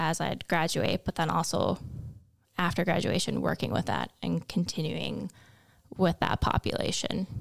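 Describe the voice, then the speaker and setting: A woman's fairly low voice with vocal fry. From US Midwest, North Dakota (Kindred, near Fargo). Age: 20s. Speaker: college student. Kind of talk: casual chat.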